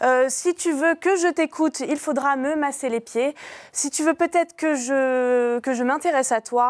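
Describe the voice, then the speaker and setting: Against a quiet background, a woman with a high pitch speaks at a fairly slow pace with fairly even intonation. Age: 20s. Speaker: dating video advertiser. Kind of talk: personal dating ad. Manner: hesitant, many fillers. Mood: playful, teasing. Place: studio.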